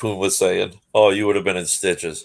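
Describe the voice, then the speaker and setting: This man talks at a fairly quick pace with a Boston accent. His pitch is fairly low, and the recording is very clean with a silent background. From Massachusetts. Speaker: tarot reader. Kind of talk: casual chat.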